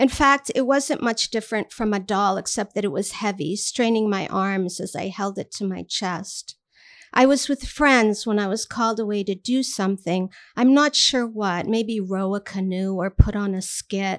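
In a normal speaking voice with an American accent, a woman talks at a medium pitch and moderate pace with ordinary pitch variation, the sound dry and close with no echo. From Armenian American. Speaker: writer and teacher. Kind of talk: reading aloud; casual anecdote. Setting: bar reading event with audience.

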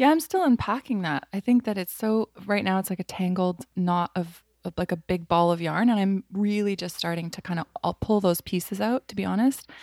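On a very clean recording with a silent background, a woman speaks in an unremarkable speaking voice at a medium pitch with ordinary pitch variation, at a fairly quick pace with hardly any pauses. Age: 30s. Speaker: artist and designer. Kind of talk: casual interview.

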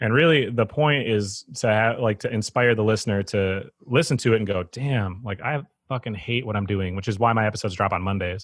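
An American accent marks this man's ordinary speaking voice, pitched fairly low and delivered at a fairly quick pace. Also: ordinary pitch variation. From Wisconsin (Eau Claire). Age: 30s. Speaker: skate shop owner and podcast host. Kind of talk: casual chat.

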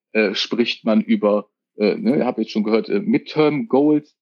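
The pitch swings very widely. The delivery is very slow. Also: man. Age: 40s. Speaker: controller. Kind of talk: casual interview. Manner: hesitant, many fillers.

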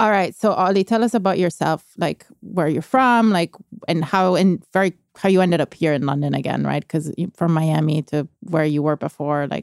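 A woman with a fairly low pitch speaks in an ordinary speaking voice at a moderate pace, with ordinary pitch variation and a dry, close sound free of echo. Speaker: news editor and podcast host. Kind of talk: interview.

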